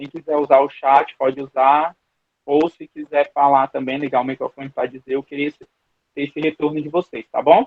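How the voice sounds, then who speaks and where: A man's fairly high voice stays monotone and flat in intonation while its loudness swings widely. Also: moderate pace. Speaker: Bible school teacher. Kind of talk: online Bible class lecture. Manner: hesitant, repeats words.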